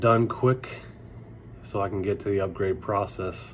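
The voice is somewhat breathy, with ordinary pitch variation. Light background noise can be heard. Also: man. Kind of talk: casual vlog chat. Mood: relieved and happy. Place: home room. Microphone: phone near.

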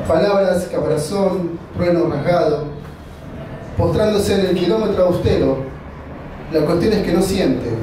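Long, frequent pauses break up fairly even intonation. Room echo is audible and background noise is noticeable. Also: man, high pitch for a man. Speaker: poetry reader. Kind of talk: poetry reading at a live event, with spoken asides between poems. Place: stage.

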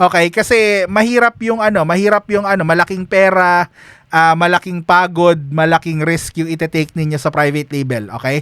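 Fairly quick and high-pitched, a man speaks with a dry, close sound and no echo. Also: ordinary pitch variation. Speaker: online business coach. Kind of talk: tutorial. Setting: screen-share recording. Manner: casual, with many fillers.

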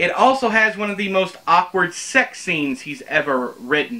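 This man speaks at a fairly slow pace. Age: 30s. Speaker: book reviewer / YouTuber. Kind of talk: casual spoken book review to camera. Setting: home recording in front of bookshelves. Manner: conversational, with frequent fillers and repetitions. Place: home room.

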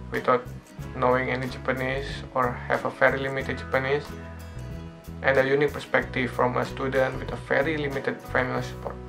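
With clear music in the background, a man with a non-native accent talks at a very fast pace broken by long, frequent pauses. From Indonesia. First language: non-native English speaker. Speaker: foreign student in Japan. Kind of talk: casual channel introduction to camera. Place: home room. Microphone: phone near.

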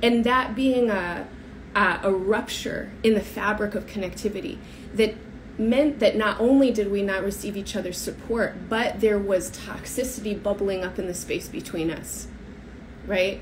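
The speaker has an American accent and goes at a moderate pace with ordinary pitch variation. Light background noise can be heard. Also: woman. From United States. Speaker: astrologer. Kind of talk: solo talk to camera. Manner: hesitant, many fillers. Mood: earnest, thoughtful. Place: home room. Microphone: phone near.

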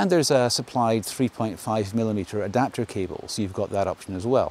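Fairly low in pitch, a man talks at a fairly quick pace with a slightly husky edge and a slightly mellow tone.

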